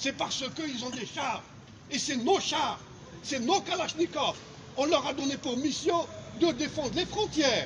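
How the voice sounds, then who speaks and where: Against noticeable background noise, a man with an extremely high pitch and ordinary pitch variation speaks at a fairly slow pace, leaving long, frequent pauses. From Algeria. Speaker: sociology professor. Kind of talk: political commentary. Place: street. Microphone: phone near.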